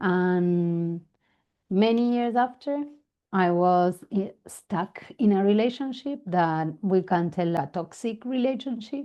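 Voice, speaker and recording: With an Argentine accent, a woman with a medium pitch speaks at a very slow pace and with lively intonation. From Argentina. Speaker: family constellation facilitator. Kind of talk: interview.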